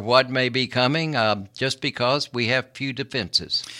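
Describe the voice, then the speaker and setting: This man has an ordinary speaking voice at a medium pitch, with an American accent. He talks at a moderate pace on a very clean recording with a silent background. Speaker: environmental lawyer. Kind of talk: radio interview. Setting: studio.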